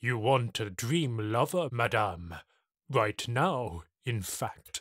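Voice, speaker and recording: A man's put-on character voice at medium pitch and a very slow pace, in a very clean recording with a silent background. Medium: read story. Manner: soft, smooth, servile.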